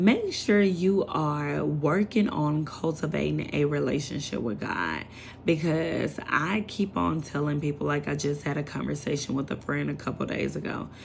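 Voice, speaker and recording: Audible room echo colors a woman's voice. She keeps a moderate pace with hardly any pauses. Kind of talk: casual sermon to camera. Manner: animated.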